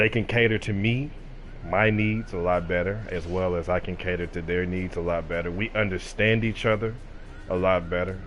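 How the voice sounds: A moderate pace paired with fairly even intonation. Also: man, low pitch for a man.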